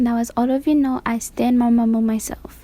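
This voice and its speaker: This woman has a high-pitched voice and a non-native accent. Her intonation stays monotone and flat. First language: not English. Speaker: YouTuber, K-pop commentator. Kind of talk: voiceover commentary.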